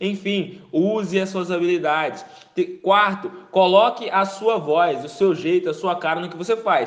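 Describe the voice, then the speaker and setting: A man speaks at a high pitch with fairly even intonation and a fairly slow pace. His loudness swings widely, and there is noticeable background noise. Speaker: marketing podcast host. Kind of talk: solo tips monologue. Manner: halting, repeats words.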